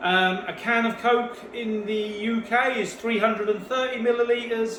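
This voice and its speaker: A high-pitched man with a British accent is heard amid noticeable background noise and audible room echo. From UK. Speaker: home cook. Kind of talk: cooking tutorial. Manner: halting, with fillers and repeated words.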